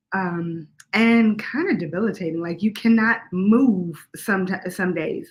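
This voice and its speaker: At a fairly slow pace, the speaker sounds somewhat breathy and shows ordinary pitch variation. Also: woman. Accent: American. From Washington, DC. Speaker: singer-songwriter. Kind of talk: interview. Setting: live stream.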